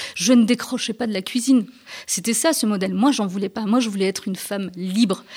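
Her voice is fairly high and somewhat breathy. The woman moves at a fairly quick pace. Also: ordinary pitch variation. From France (Rennes, Strasbourg), Turkish Alevi family. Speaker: journalist and author. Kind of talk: radio interview. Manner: halting, repeats words.

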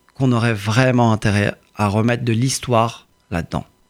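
In a very clean recording against a silent background, this man keeps to a moderate pace. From France, Courbevoie. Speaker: politician and lawyer. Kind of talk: interview.

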